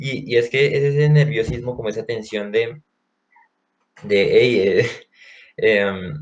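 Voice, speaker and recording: Pausing long and often, a man with a medium-pitched voice talks at a very slow pace with ordinary pitch variation. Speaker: university student podcast co-host. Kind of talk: casual chat.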